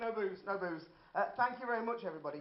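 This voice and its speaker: In a room with audible echo, a man with a Birmingham accent talks very fast in a high pitch with lively intonation. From Birmingham, England. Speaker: amateur stand-up comedian. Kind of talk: stand-up. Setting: stage with audience.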